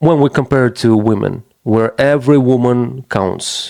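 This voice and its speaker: A man with a non-native accent, a dark, mellow tone and medium pitch, on a very clean recording with a silent background. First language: not English. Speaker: men's issues commentator. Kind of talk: casual monologue. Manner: halting, with frequent false starts.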